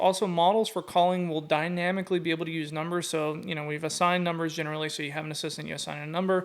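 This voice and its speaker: A man talking at a very fast pace, high in pitch, with fairly even intonation. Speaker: software company founder presenting product update. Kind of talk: product demo walkthrough. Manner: casual, filler-heavy.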